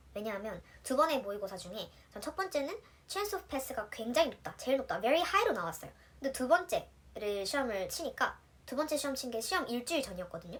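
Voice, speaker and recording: A high female voice at a fairly quick pace, with very wide pitch swings. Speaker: nurse. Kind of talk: tutorial. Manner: casual, chatty.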